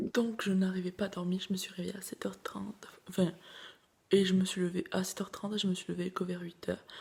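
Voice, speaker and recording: A woman speaks very fast in a soft, somewhat breathy voice at a medium pitch. Her intonation stays flat and monotone. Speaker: vlogger, student. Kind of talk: casual vlog talk to camera. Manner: soft-spoken.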